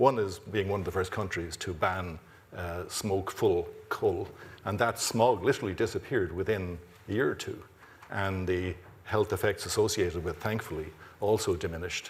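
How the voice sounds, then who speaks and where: A man with an Irish accent, a fairly low pitch, a moderate pace and fairly even intonation. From Ireland, Dublin. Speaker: university president. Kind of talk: closing remarks at a symposium. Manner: halting, many fillers and repeats.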